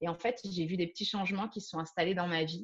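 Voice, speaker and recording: A woman speaks in a somewhat breathy, fairly low-pitched voice with ordinary pitch variation. The background is quiet. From France. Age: 30s. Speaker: yoga teacher. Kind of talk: interview.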